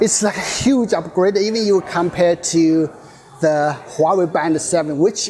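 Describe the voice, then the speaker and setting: Amid noticeable background noise, a man speaks at a moderate pace in a fairly high pitch with ordinary pitch variation. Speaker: tech reviewer. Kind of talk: unboxing and hands-on review. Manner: animated.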